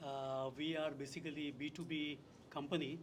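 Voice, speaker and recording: The man's voice sits fairly high in pitch. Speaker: business executive, panelist. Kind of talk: panel discussion. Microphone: speaking without the microphone.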